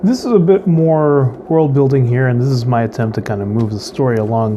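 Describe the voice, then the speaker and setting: Medium in pitch, a man's voice moves at a fairly quick pace with lively intonation. Noticeable background noise can be heard. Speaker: writing vlogger. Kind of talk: casual vlog talk. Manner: halting, many fillers.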